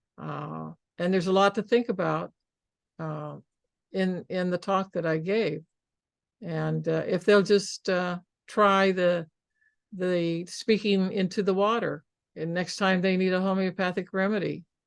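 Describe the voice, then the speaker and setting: Against a quiet background, a woman speaks fairly slowly in a monotone, flat intonation, leaving long, frequent pauses. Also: medium pitch for a woman. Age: 70s. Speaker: homeopath keynote speaker. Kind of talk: interview chat after keynote.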